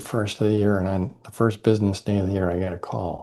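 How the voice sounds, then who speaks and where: A man's voice has a dark, mellow tone. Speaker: leadership development consultant and author. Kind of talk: interview conversation. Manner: halting, many fillers.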